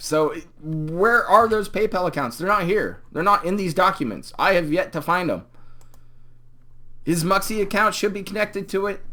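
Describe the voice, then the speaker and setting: A man projects a raised voice at a high pitch, his tone bright and sharp with ordinary pitch variation. He keeps a moderate pace on a very clean recording with a silent background. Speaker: YouTube commentator. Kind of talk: live stream commentary. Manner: animated.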